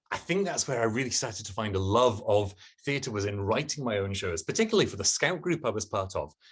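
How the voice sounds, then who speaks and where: Talking at a very fast pace, a man with a medium pitch uses lively intonation and sounds somewhat breathy. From Scotland (English parents). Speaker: poet and performer. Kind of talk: interview.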